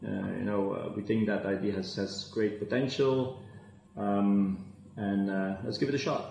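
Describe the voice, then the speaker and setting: A man with a Flemish accent speaks at a fairly slow pace and a fairly low pitch, with fairly even intonation and audible room echo. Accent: Belgian (Flemish) English. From Belgium. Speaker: fintech entrepreneur; guest. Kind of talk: interview. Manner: halting, many fillers. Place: office. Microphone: video call.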